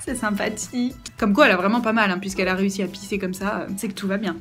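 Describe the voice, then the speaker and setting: A woman at a medium pitch and a very fast pace, with noticeable background noise and audible room echo. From France. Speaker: au pair vlogger. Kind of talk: casual vlog. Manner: many fillers, animated.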